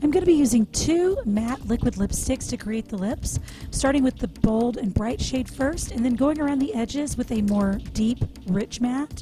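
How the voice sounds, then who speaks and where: A woman speaks quietly at a moderate pace with a high pitch and ordinary pitch variation, against noticeable background noise. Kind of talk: makeup tutorial voice-over. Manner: quiet, low volume.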